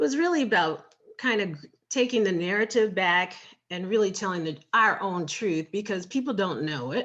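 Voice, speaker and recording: A woman speaks at a medium pitch and a moderate pace. She has a plain, everyday voice with lively intonation. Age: 50s. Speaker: food blogger and writer. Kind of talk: interview conversation.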